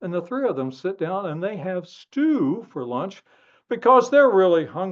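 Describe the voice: Here someone is doing plain reading aloud.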